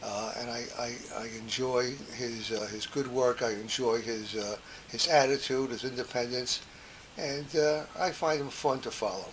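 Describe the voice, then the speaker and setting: Against noticeable background noise and audible room echo, a man talks at a moderate pace with a medium pitch and fairly even intonation. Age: 70s. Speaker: podcast host. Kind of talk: memoir monologue. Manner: halting, many fillers.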